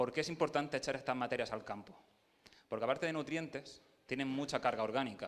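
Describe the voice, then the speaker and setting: A man with an Andalusian accent talks at a very fast pace and medium pitch with fairly even intonation. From Andalusia, Jaén. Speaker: agronomist presenting at field day. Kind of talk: technical talk to audience.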